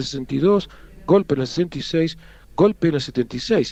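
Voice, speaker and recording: Dry and close with no echo, a man talks at a fairly quick pace with a fairly high pitch. He has a plain, everyday voice, with ordinary pitch variation. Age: 50s. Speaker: history professor. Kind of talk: interview.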